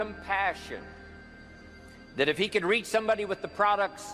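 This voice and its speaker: A man's raised, projected, high-pitched voice at a moderate pace, with music in the background. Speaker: motivational speaker. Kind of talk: motivational speech.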